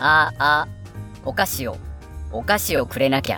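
A man puts on a squeaky, playful character voice at a medium pitch and a moderate pace while music plays clearly in the background. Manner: playful, comic.

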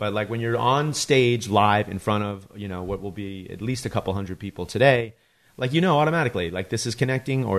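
An unremarkable speaking voice from a man, with ordinary pitch variation, over a quiet background. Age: 40s. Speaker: podcast host. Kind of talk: casual chat.

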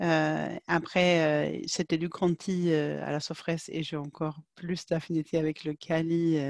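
Very slowly and with hardly any pauses, a woman speaks in a dry, close sound with no echo. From Sweden. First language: Swedish (speaking French). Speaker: market researcher. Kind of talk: interview. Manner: halting.

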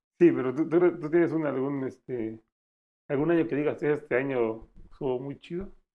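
Moderate pace and ordinary pitch variation. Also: man, fairly high pitch for a man. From Mexico, San Cristóbal. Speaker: podcast co-host. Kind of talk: casual chat.

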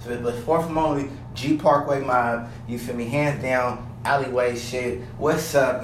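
Both noticeable background noise and audible room echo surround a man as he speaks. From South Sacramento, California. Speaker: podcast host. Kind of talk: casual monologue. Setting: home basement. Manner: animated.

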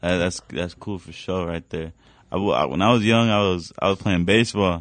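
A man uses a normal speaking voice, keeping his pitch fairly low and his pace fairly quick. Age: 20s. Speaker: rapper. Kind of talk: casual chat.

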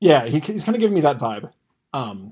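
Talking at a very fast pace with an American accent, a man sounds somewhat breathy as his pitch swings very widely. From US, rural farming community. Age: 20s. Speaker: podcaster. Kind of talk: casual chat.

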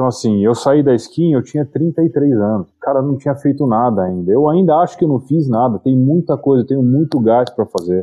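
With a normal speaking voice, a man at medium pitch talks at a moderate pace with lively intonation, very even loudness and hardly any pauses. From Brazil, Itu (São Paulo state). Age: 40s. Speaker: entrepreneur and investor. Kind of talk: interview.

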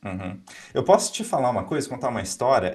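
Here a man is talking. He goes at a very fast pace. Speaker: podcast host. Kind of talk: interview. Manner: animated.

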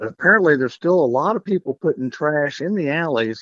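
A man at a fairly quick pace with a West Texas accent. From Texas Panhandle (Canyon). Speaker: mayoral candidate. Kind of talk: interview. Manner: halting.

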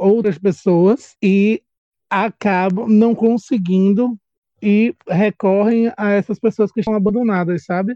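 A man's high-pitched voice with a dark, mellow tone, in a Bahian accent, at a very slow pace, in a dry, close sound with no echo. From Brazil, Salvador, Bahia. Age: 30s. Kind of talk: casual chat.

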